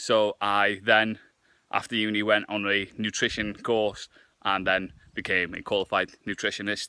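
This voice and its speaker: In a very clean recording with a silent background, a man with a Welsh accent speaks in a fairly low, bright and sharp voice with monotone, flat intonation. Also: moderate pace, dry, close sound with no echo. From Wales. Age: 20s. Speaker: fitness vlogger and nutritionist. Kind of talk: casual vlog to camera.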